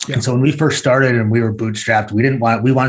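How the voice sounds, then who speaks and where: This man's voice is somewhat breathy, with fairly even intonation. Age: 40s. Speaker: e-commerce executive. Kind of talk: business interview.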